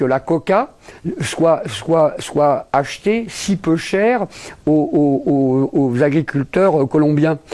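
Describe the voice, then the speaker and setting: A man talks very slowly, his pitch moving in a normal way, while noticeable background noise carries on behind him. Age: 60s. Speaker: lawyer, international law specialist. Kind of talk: interview. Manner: halting, many repetitions and fillers.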